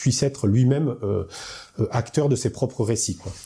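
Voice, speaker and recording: On a very clean recording with a silent background, a man with a dark, mellow tone sounds somewhat breathy at a moderate pace. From southern France, Hautes-Alpes. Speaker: actor and party activist. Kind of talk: political interview. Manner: hesitant, many fillers.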